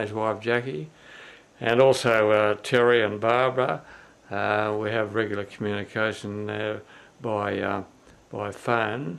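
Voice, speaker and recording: A man with an Australian accent, moderate pace and fairly even intonation. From Australia, New South Wales. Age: 70s. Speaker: family video blogger. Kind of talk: personal video message. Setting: indoors, filmed on camera. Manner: halting, many fillers.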